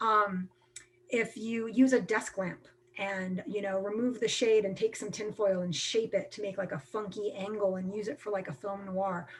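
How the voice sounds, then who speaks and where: The woman's voice sits at a medium pitch. Her intonation stays fairly even. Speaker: film workshop presenter, production company president. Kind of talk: live online workshop talk. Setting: video call. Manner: fast; casual, filler-heavy.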